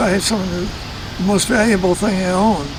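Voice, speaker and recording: Over noticeable background noise, someone talks with an American accent. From US Midwest, St. Louis. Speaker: retired businessman. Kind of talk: casual interview. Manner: halting.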